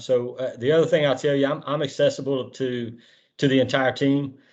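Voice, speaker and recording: Over a quiet background, a man with fairly high pitch and a Southern US accent talks at a fairly quick pace. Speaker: disaster relief organization executive. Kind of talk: virtual all-hands meeting address. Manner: halting, many fillers.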